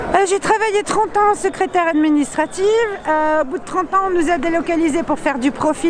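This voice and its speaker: A woman's lively intonation and fairly quick pace come through over noticeable background noise. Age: 60s. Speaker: protester. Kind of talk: street interview. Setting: outdoors at a street protest. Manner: animated.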